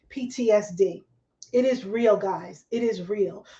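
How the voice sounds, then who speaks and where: A woman speaks in an American accent at a very slow pace. Her pitch is high, with ordinary pitch variation. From New Jersey. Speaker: talk show host. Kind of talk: live online talk show. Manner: animated.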